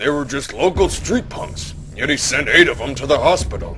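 Over clear background noise, a man talks at a moderate pace. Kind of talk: comic parody dubbing. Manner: loud, crude, boastful.

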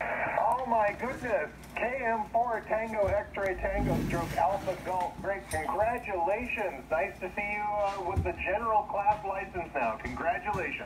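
Against noticeable background noise, a man with a high pitch talks at a fairly slow pace with ordinary pitch variation. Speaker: remote ham radio operator. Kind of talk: radio contact chat. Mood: delighted, surprised. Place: home room.

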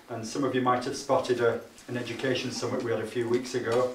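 A man at a very fast pace, with audible room echo and light background noise. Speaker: event host. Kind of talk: opening speech. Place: meeting room. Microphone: camera far.

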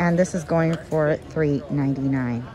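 A woman speaks with ordinary pitch variation. Crowd noise can be heard behind her. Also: dry sound with no echo. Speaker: shopping vlogger. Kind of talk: casual shopping haul commentary. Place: shop. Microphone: phone near.

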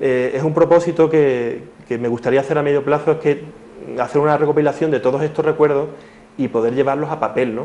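A man's fairly high, dark, mellow voice, fairly even in intonation, at a fairly quick pace. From Cádiz, Andalusia; Andalusia. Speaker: schoolteacher; interview guest. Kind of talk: TV interview. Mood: calm, thoughtful. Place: studio. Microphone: lapel.

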